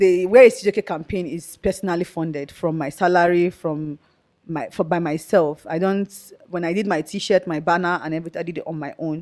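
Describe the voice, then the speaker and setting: With a fairly low pitch, a woman speaks at a fairly quick pace, her intonation fairly even but her loudness swinging widely. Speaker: activist. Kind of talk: interview.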